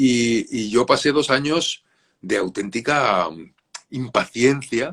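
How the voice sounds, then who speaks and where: Speaking at a very slow pace, a man with a medium pitch uses lively intonation and big swings in loudness. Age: 60s. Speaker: children's author. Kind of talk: interview. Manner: halting.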